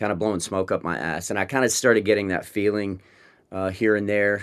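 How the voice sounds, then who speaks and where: A man talks at a fairly quick pace in a fairly low pitch with ordinary pitch variation, captured in a very clean recording with a silent background. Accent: American. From West Texas, small town. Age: 40s. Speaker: rock band frontman. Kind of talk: interview conversation. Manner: halting, many restarts and fillers.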